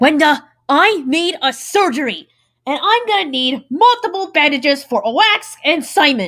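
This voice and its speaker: At a moderate pace, a cartoonish character voice comes through in a high pitch. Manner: formal.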